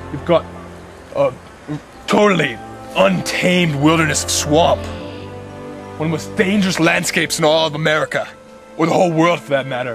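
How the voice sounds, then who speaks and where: Clear music sits in the background. A man speaks at a fairly quick pace. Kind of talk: comic mock-documentary narration. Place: forest. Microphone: camera far.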